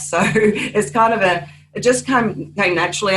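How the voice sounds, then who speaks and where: A woman with an Australian accent is heard over noticeable background noise. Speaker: crime novelist. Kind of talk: panel discussion.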